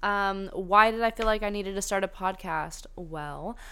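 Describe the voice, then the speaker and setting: With an American accent, a woman speaks at a moderate pace in a bright, sharp tone at medium pitch, with audible room echo around her. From US South. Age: 20s. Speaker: podcast host. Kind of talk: casual solo chat. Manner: animated.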